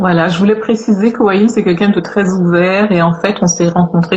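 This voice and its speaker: There is noticeable background noise as a woman talks with fairly even intonation. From Guadeloupe (Pointe-à-Pitre). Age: 50s. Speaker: live stream host. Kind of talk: casual chat.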